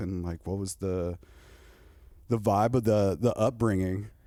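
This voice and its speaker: A man with a Southern California accent has a dark, mellow tone and fairly even intonation, on a very clean recording with a silent background. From Southern California, Corona. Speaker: podcast host. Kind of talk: casual chat.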